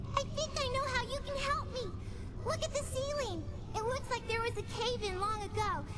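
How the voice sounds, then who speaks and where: The lines come at a moderate pace in a put-on character voice. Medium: machinima. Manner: pleading, frantic.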